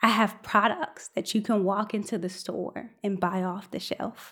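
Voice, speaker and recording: A woman with an American accent, medium pitch and an ordinary speaking voice, fairly slow pace and fairly even intonation, on a very clean recording with a silent background. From Chicago South Side. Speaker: scientist and storyteller. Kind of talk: storytelling performance. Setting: stage with live audience.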